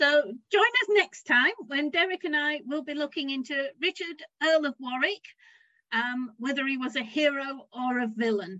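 A woman's raised, projected voice, high-pitched with a bright, sharp tone, lively intonation and a moderate pace, in a dry, close sound with no echo. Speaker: podcast co-host and historian. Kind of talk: casual interview chat.

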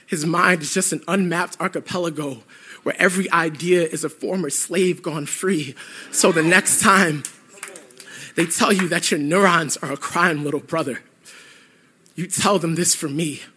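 Long, frequent pauses break up fairly even intonation over noticeable background noise. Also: man, high pitch for a man, moderate pace. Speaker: spoken word poet. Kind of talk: spoken word performance poem, history-laden indictment of psychiatry. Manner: measured, declamatory, righteous crescendo.

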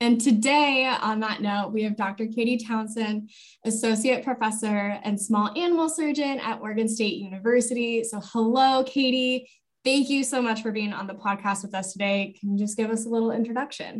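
A woman with an American accent, fairly high-pitched and somewhat breathy, with fairly even intonation at a moderate pace. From US Rocky Mountain region. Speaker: university admissions advisor. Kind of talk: casual interview.

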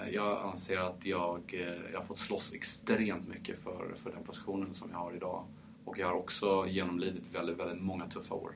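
Very deep, low male voice in a monotone, flat delivery at a moderate pace, with audible room echo. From France, Paris. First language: French (speaking Swedish). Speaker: champagne producer. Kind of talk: interview.

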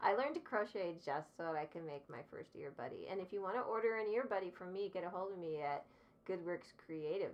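A woman talks at a fairly quick pace with a medium pitch. Her intonation is lively. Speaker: ukulele teacher. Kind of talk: casual chat. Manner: vocal fry.

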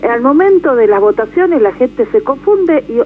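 Speech at a fairly slow pace swings very widely in pitch over noticeable background noise. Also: woman. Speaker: politician. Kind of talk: radio interview. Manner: animated.

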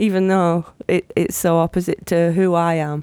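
A woman's dark, mellow voice with a British accent and monotone, flat intonation. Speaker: podcast co-host. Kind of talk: casual chat.

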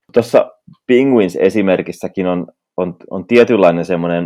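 With a very deep, low pitch, a man speaks at a fairly slow pace. The background is quiet. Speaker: podcast co-host. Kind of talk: casual chat.

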